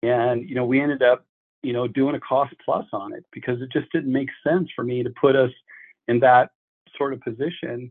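A man's fairly even intonation carries his words along at a moderate pace. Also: medium pitch for a man. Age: 60s. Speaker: pool designer and builder. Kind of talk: interview. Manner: halting.

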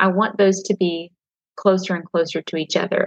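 The speaker has a Southern US accent and monotone, flat intonation at a fairly quick pace. The sound is dry and close, with no echo. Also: woman. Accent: Southern US, twangy. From Nashville area, Tennessee. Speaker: author and pastor's wife. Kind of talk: casual interview chat. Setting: video call from home, kids nearby.

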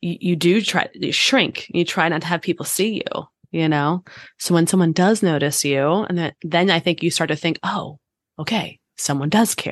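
A woman with a plain, everyday voice, fairly low in pitch, at a moderate pace, dry and close with no echo, against a quiet background. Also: ordinary pitch variation. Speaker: podcast co-host. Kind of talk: casual chat.

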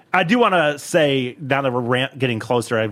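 With an unremarkable speaking voice, a man talks at medium pitch with ordinary pitch variation. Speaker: podcast host comedian. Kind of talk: casual comedy podcast chat. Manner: fast talker.

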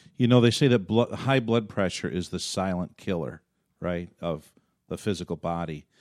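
A man's very deep, low voice with lively intonation at a moderate pace. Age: 50s. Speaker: pastor and podcast host. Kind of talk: casual chat. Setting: studio.

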